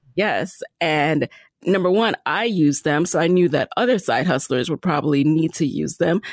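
With an ordinary speaking voice, a woman speaks at a moderate pace and fairly low pitch with ordinary pitch variation and very even loudness, in a dry, close sound with no echo. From US, the Bronx, New York (born in Jamaica). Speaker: podcast host and entrepreneur. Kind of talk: interview.

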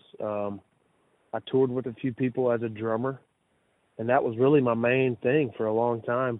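With a Mississippi accent, a man talks at a moderate pace and medium pitch in monotone, flat intonation, pausing long and often. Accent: Mississippi Southern US. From Mississippi Delta, US South. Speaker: blues musician. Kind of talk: interview. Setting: radio show.

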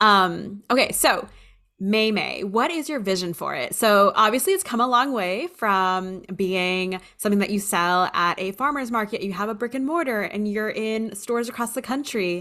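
A woman's animated, bright, sharp voice, fairly high in pitch, with ordinary pitch variation at a moderate pace, on a very clean recording with a silent background. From Hawaii. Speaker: podcast host. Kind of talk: casual interview.

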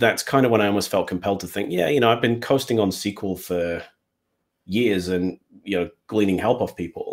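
A man speaks with an English Midlands accent in a fairly low voice. His pace is fairly quick and his pitch variation ordinary. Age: 40s. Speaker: Power BI developer. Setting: live online stream from home, puppies nearby.

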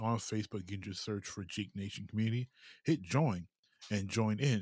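This man has a plain, everyday voice, fairly low in pitch, varying it in an ordinary way as he talks at a moderate pace. The background is silent and the recording very clean. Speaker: podcast host. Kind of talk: casual chat.

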